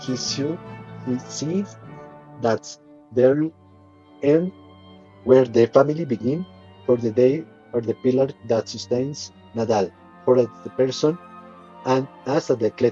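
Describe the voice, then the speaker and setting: A man with a Colombian accent speaks at a fairly slow pace and a medium pitch, leaving long, frequent pauses while music plays in the background. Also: ordinary pitch variation. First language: Spanish. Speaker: English learner. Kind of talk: audiobook reading.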